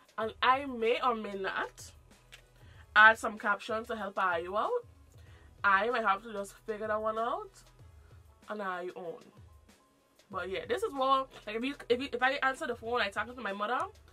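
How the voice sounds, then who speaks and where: A woman's fairly high voice at a moderate pace, with long, frequent pauses, ordinary pitch variation, big swings in loudness, and music in the background. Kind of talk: casual, conversational.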